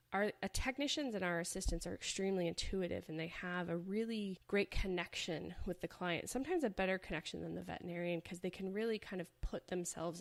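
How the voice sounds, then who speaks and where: A woman talks in a normal speaking voice at a medium pitch. Her pace is fairly quick, with hardly any pauses. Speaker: veterinarian and podcast host. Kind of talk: podcast monologue.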